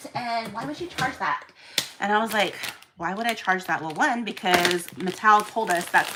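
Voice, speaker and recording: A woman at medium pitch speaks in an animated tone with lively intonation. Noticeable background noise sits behind her. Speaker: live-streaming doll seller and event organizer. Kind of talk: casual live stream chat. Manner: fast.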